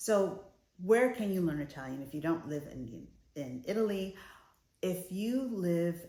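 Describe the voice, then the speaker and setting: Someone with an American accent talks at a moderate pace, with lively intonation and a dark, mellow tone. Audible room echo surrounds the voice. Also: woman. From United States. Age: middle-aged. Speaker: lifestyle vlogger. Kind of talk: casual vlog talk to camera. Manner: conversational, some hesitations.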